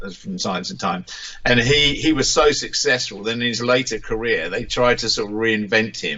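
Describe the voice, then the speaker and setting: A man in an English accent talks at a fairly quick pace and medium pitch, with noticeable background noise behind him. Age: 60s. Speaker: musician. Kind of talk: interview. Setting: radio interview. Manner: halting.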